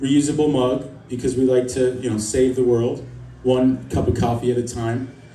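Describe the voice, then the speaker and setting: A man with an American accent speaks at a medium pitch. Light background noise and audible room echo surround him. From US East Coast. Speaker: stand-up comedian. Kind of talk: stand-up comedy set. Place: stage.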